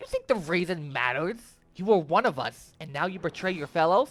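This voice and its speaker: Putting on a character voice, a man speaks high for a man at a fairly quick pace. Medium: read story. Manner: sneering, mocking.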